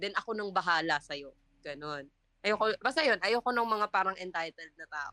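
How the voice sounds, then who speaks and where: Her tone bright and sharp, a woman at medium pitch speaks at a moderate pace with lively intonation and big swings in loudness, in a dry, close sound with no echo. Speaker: culinary student, podcast co-host. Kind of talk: casual chat.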